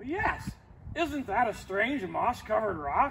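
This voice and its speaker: Using a put-on character voice, a man speaks at an extremely high pitch and a fairly slow pace against clear background noise. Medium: read story.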